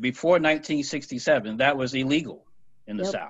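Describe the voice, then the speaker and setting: The speaker has a plain, everyday voice. Pitch rises and falls by an ordinary amount. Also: man. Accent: American. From North Carolina (Fayetteville). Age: 50s. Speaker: newspaper opinion editor. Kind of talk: casual panel discussion.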